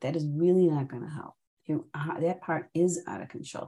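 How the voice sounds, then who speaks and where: Speaking at a fairly quick pace, a woman uses vocal fry and has a dark, mellow tone. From Chicago. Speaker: therapist and trainer. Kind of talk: interview.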